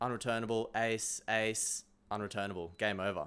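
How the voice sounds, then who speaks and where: A fairly low-pitched male voice with an Australian accent. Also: very clean recording, silent background. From Australia, Sunshine Coast. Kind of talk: casual chat. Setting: studio.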